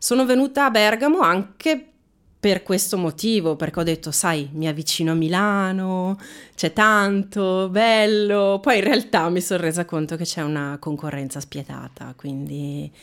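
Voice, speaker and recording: A woman has an ordinary speaking voice at a medium pitch, with lively intonation at a fairly slow pace. The recording is very clean, with a silent background. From Veneto, Italy. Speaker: actress and trainer. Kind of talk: casual interview chat.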